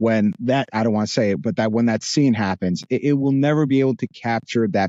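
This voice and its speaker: In a New Jersey accent, a man speaks at a medium pitch and a moderate pace with lively intonation. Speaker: voice actor. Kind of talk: podcast interview. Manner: hesitant, many fillers.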